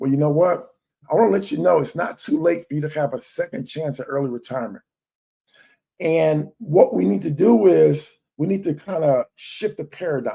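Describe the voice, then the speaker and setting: With very wide pitch swings, a man speaks at a moderate pace in a fairly high voice with a dark, mellow tone. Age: 40s. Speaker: financial coach. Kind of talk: live stream sales pitch. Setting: live stream.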